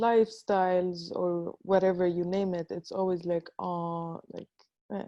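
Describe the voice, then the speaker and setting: With a North African accent, a woman speaks at a fairly slow pace in a fairly low pitch and a monotone, flat intonation. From Libya. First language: Tamazight. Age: 20s. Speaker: artist. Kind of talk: panel discussion. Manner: halting.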